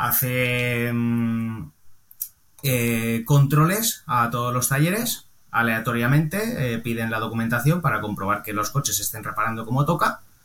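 A man speaks at a fairly slow pace in a plain, everyday voice. His pitch sits in the medium range, with ordinary variation. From Valencia, Spain. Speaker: car body repairer and painter. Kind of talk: casual interview chat.

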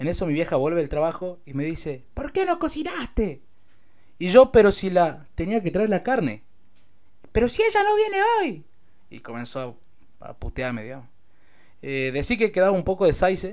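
A man with a high voice speaks with very wide pitch swings, big swings in loudness, and long, frequent pauses. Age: 20s. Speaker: rapper and vlogger. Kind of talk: personal vlog monologue.

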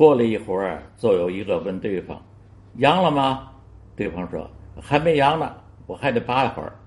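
At a moderate pace, a man of medium pitch talks with very wide pitch swings and big swings in loudness. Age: 80s+. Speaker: elderly listener-contributor sharing memories. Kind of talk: recorded storytelling reminiscence. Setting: self-recorded audio file sent to the show.

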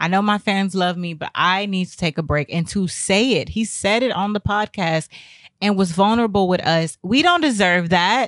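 In an American accent, a woman uses a normal speaking voice at a medium pitch with lively intonation and a moderate pace. The sound is dry and close with no echo, and the background is quiet. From Texas. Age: 20s. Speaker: podcast host. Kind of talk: casual monologue commentary.

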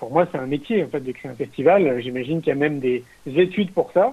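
A man with an ordinary speaking voice talks at a fairly quick pace, with a fairly high pitch and ordinary pitch variation. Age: 40s. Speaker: entrepreneur and filmmaker. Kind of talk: interview.

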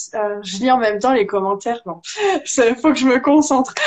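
Lively intonation from a woman with a high pitch. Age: 20s. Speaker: energy healer. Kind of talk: casual interview. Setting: video call.

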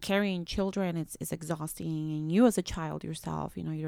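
Speaking with a Spanish accent at a fairly quick pace, a woman has a dark, mellow tone, fairly low pitch and fairly even intonation. The recording is very clean, with a silent background. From Nicaragua. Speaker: public defender. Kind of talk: casual interview conversation.

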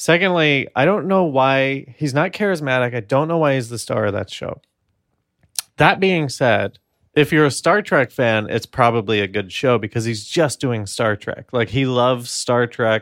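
Speaking with an American accent, a man with an unremarkable speaking voice talks at a moderate pace and medium pitch with lively intonation. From New York. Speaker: podcast co-host. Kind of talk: casual chat. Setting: home apartment recording.

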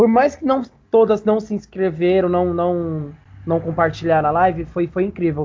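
Talking at a moderate pace, a man has a high pitch and ordinary pitch variation. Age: 20s. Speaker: game streamer. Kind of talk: casual chat.

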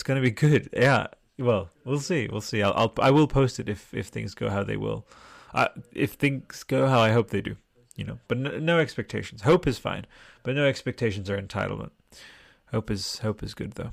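Vocal fry and lively intonation come through at a moderate pace in a very clean recording with a silent background. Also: man, medium pitch for a man. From Australia. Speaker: podcast host. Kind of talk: live stream chat, casual. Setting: home live stream, reading chat. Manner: casual, rambling.

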